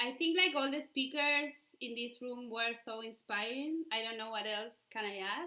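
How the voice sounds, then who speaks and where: Speaking in a Spanish accent, a woman uses a high pitch with ordinary variation at a moderate pace. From Argentina. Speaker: union member. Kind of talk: rally speech. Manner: halting.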